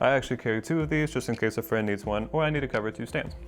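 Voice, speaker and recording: Music plays in the background. A man talks in a medium pitch with ordinary pitch variation. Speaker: percussionist and percussion educator. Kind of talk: instructional talk to camera. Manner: slightly uneven, adapting to talking.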